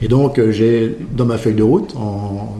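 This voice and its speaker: A man at a medium pitch, talking at a very slow pace, with audible room echo. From Champagne, France. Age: 60s. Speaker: champagne house owner. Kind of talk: interview. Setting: at a champagne house.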